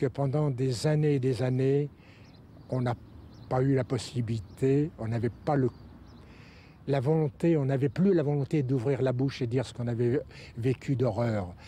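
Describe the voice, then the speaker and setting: A man speaks slowly-ish at a medium pitch, his tone dark, mellow and somewhat breathy. Long pauses come often between his words. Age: 80s+. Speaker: Holocaust survivor. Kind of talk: testimony.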